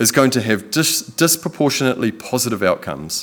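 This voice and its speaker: In a New Zealand accent, a man of medium pitch speaks at a fairly quick pace with very wide pitch swings. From New Zealand, Whanganui. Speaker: photographer and videographer, Treaty educator. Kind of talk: public lecture. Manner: calm.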